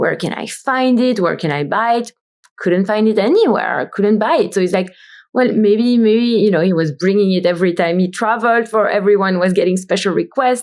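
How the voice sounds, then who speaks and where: The speaker talks with a Belgian accent at a moderate pace, showing ordinary pitch variation. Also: woman, medium pitch for a woman. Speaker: brand founder and CEO. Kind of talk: podcast interview.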